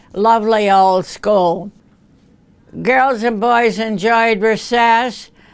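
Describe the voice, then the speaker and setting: Speaking at a very slow pace, a woman uses an American accent and fairly even intonation. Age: 80s+. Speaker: retired school principal. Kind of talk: interview reminiscence. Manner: halting.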